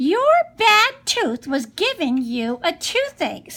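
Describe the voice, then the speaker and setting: Putting on a character voice, a woman speaks at an extremely high pitch, very slowly, with very wide pitch swings. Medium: read story.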